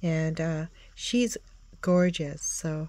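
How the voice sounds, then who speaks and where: A woman talks at a very slow pace against a quiet background. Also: dry sound with no echo. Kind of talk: casual show-and-tell vlog. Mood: enthusiastic, admiring. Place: home room. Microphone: phone near.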